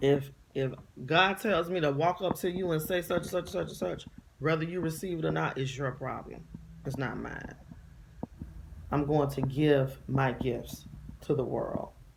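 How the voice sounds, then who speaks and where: Over noticeable background noise, a woman with a very deep, low voice speaks in an animated tone at a fairly slow pace, with ordinary pitch variation and long, frequent pauses. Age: 40s. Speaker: vlogger, inspirational speaker. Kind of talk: casual monologue vlog. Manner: animated, emphatic.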